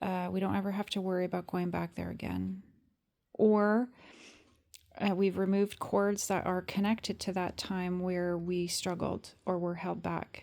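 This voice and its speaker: Someone speaks at a moderate pace in a flat monotone on a very clean recording with a silent background. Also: woman, medium pitch for a woman. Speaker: tarot reader. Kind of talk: spiritual card reading. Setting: evening recording. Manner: hesitant with many fillers.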